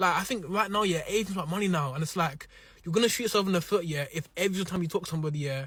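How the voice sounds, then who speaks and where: In an animated tone, a man speaks at a very fast pace with a high pitch and ordinary pitch variation. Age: 20s. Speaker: podcast host, entrepreneur. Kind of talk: casual chat on a date show. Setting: studio.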